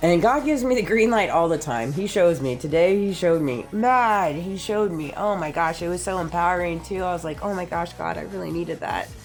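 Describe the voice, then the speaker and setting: A woman with a fairly low pitch sounds animated, her intonation lively, with audible room echo and music in the background. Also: hardly any pauses. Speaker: vlogger. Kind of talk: casual monologue vlog. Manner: loud.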